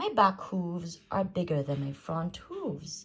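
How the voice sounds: Using a put-on character voice, a woman speaks slowly with big pitch swings. Her pitch is fairly low and her tone fairly bright.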